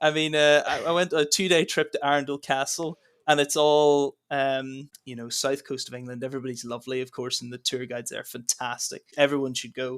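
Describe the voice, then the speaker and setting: A man with an American accent talks at a fairly quick pace, with hardly any pauses, in a fairly high pitch. His intonation is fairly even, his loudness swings widely, and the recording is very clean with a silent background. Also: dry, close sound with no echo. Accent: Northern Irish, often mistaken for American. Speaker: trainee history teacher. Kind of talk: casual chat.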